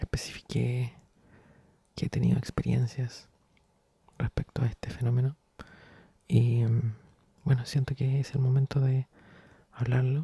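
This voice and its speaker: In a dry, close recording with no echo, a man of medium pitch speaks fairly slowly with long, frequent pauses, in a somewhat breathy, dark, mellow tone and monotone, flat intonation. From Chile. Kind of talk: ASMR soft-spoken storytelling. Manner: soft-spoken.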